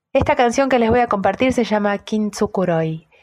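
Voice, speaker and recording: A woman speaks with ordinary pitch variation. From Argentina. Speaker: singer-songwriter and music teacher. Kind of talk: prepared self-introduction.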